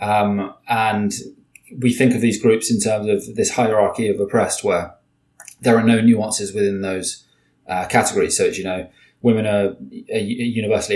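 Fairly low male voice with a British accent, flat, monotone intonation and a moderate pace. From Britain. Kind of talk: interview conversation. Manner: halting, many repetitions and fillers.

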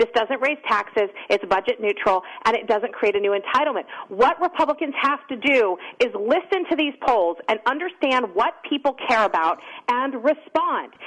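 A woman speaks at a moderate pace in a high pitch. Her intonation is lively. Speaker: political commentator. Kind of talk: radio interview.

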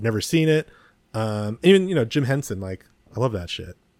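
With a Californian accent, a man talks at a fairly quick pace using lively intonation. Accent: General American (Californian). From US West Coast (San Mateo, California). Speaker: podcast co-host. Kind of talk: casual chat. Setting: video call.

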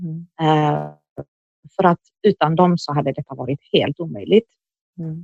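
A fairly slow pace with long, frequent pauses. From moved to Sweden at age nine. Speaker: interviewee sharing life story. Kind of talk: personal testimony. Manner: halting, many fillers.

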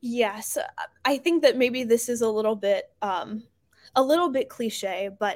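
A woman speaks in a plain, everyday voice at a fairly high pitch and fairly slow pace. Her pitch variation is ordinary, on a very clean recording with a silent background. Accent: American. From New Jersey. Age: 20s. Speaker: startup founder. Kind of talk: interview.

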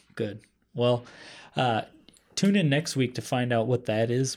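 Dark, mellow tone from a man with an American accent, medium pitch, on a very clean recording with a silent background. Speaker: podcast host. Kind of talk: casual chat.

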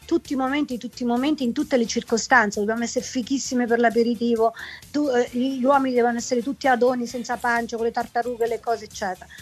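Speaking at a very fast pace, a woman uses a high-pitched voice. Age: 50s. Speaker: singer. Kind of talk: casual interview. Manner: animated.

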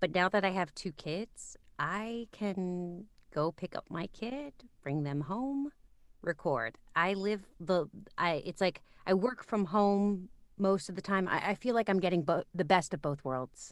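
The recording is very clean, with a silent background. A woman with a medium pitch speaks at a fairly slow pace. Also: lively intonation. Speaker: voiceover artist and audiobook narrator. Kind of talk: casual interview chat. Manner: natural, unpolished delivery.

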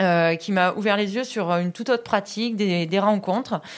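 In an ordinary speaking voice, a woman talks at a moderate pace with a medium pitch and ordinary pitch variation. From Vaucluse, Provence. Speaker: PE teacher. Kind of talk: interview.

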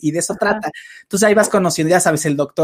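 Over a dry, close sound with no echo, a man talks at a very fast pace in a somewhat breathy voice with ordinary pitch variation. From Mexico City. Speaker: live-stream host, film and TV commentator. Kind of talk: casual chat. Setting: live stream.

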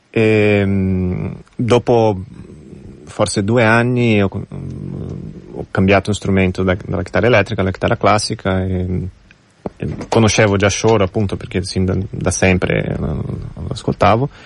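The speaker, in a Portuguese accent, goes at a fairly slow pace with long, frequent pauses and fairly even intonation. Noticeable background noise is present. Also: man, fairly low pitch for a man. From Brazil. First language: Portuguese (speaking Italian). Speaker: musician. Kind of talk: interview.

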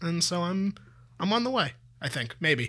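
On a very clean recording with a silent background, a man with a Canadian accent speaks at a moderate pace in a high, bright, sharp voice. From Toronto, Canada. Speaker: sports podcast co-host. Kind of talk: casual chat.

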